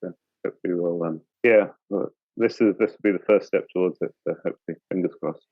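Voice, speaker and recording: A man at a fairly quick pace. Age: 60s. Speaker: dive boat skipper. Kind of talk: casual chat. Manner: halting, many fillers.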